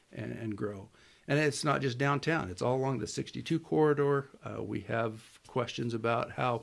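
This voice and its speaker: With a plain, everyday voice, a man speaks at a moderate pace and a medium pitch, using ordinary pitch variation. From US Pacific Northwest. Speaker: city manager. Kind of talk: interview.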